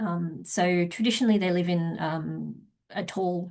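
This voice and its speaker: Over a quiet background, a woman with an Australian accent speaks at a very slow pace, somewhat breathy, with a fairly low pitch and ordinary pitch variation. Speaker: wildlife researcher. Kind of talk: conference presentation. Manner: hesitant with frequent fillers.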